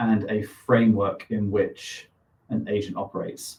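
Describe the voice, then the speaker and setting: Speaking with a British accent, a man keeps a fairly slow pace and fairly low pitch, his somewhat breathy voice holding fairly even intonation. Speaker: co-founder of a crypto AI startup. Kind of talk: live stream product demo. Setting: live stream.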